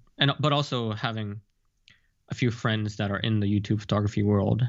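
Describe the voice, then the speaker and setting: Over a quiet background, a man talks at a fairly quick pace in an ordinary speaking voice. His pitch is fairly low and his intonation fairly even. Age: 20s. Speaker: photographer and fashion model. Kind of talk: interview.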